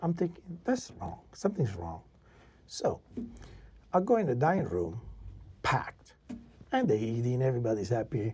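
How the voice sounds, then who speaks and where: Speaking at a moderate pace with an Italian accent, a man has a medium-pitched, somewhat breathy voice with a dark, mellow tone. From Italy. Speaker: chef and restaurateur. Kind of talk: casual interview storytelling. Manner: animated.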